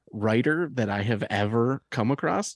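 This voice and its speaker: A man with a normal speaking voice at a moderate pace, lively in intonation, with a dry, close sound with no echo and a quiet background. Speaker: podcast co-host. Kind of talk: casual chat. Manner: jokey, laughs often.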